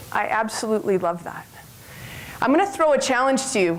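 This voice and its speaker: Speech moves at a fairly quick pace. Noticeable background noise and audible room echo run through the recording. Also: woman. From western Canada. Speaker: health club owner and former basketball player. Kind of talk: conference talk. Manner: loud.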